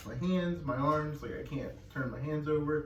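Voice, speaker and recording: Noticeable background noise and audible room echo surround the recording. A man speaks at medium pitch and a fairly quick pace. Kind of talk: casual Q&A chat. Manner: fast when excited, sometimes hard to understand.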